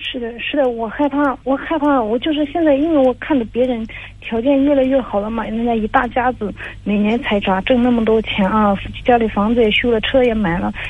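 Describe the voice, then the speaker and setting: Noticeable background noise runs under a woman talking at a fairly quick pace. Her voice is high, with ordinary pitch variation. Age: 30s. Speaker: caller seeking marriage advice. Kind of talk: advice call. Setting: phone call. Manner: halting.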